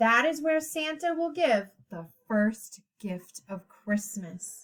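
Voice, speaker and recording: A woman's put-on character voice, fairly high in pitch, at a very slow pace. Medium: read story. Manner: calm, courteous.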